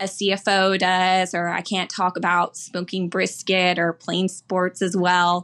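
A plain, everyday voice from a woman with an American accent, medium pitch, a fairly slow pace, and a very clean recording with a silent background. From Houston, Texas. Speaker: bank lender. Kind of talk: interview.

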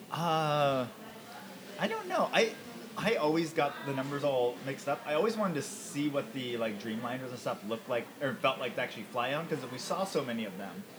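Noticeable background noise surrounds a man who talks at a fairly quick pace with a fairly high pitch. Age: 30s. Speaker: podcast host and former mechanical engineer. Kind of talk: casual interview chat; podcast intro monologue. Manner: hesitant with many fillers.

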